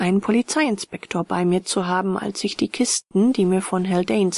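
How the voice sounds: The voice reads in a natural way. Nothing else accompanies it.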